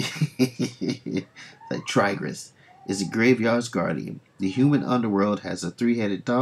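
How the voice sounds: This is a natural reading voice. It is simply read aloud.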